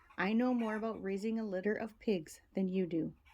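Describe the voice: This is plain reading aloud. Its intonation holds fairly even.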